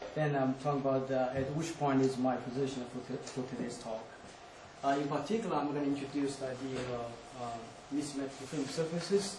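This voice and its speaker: A man's fairly high voice at a fairly quick pace, with fairly even intonation, audible room echo and noticeable background noise. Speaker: physicist giving a talk. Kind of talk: lecture. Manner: hesitant, many fillers.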